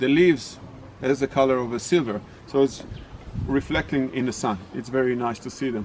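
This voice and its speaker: A man talks at a fairly quick pace with a non-native accent. His pitch sits in the medium range. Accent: non-native English, mispronounces words. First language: not English. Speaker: tour guide. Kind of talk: casual storytelling; guided tour commentary.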